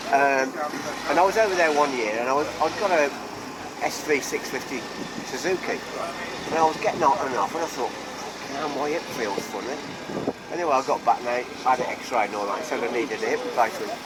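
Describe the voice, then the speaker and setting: Speech at a fairly quick pace is broken by long, frequent pauses, with noticeable background noise behind it. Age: 70s. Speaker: motorcycle enthusiast. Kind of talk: casual chat.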